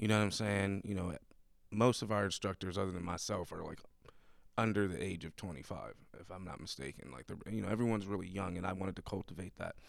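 Very fast and very deep, a man's low-pitched voice shows vocal fry and ordinary pitch variation. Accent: American. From Buffalo, New York. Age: 30s. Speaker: podcast host, mentor and dance teacher. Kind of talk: podcast interview. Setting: studio. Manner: hesitant, many filler words.

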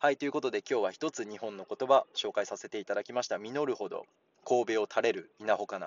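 A man talks fairly quickly, his loudness swinging in big jumps. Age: 30s. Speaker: Japanese language teacher podcaster. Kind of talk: casual language lesson.

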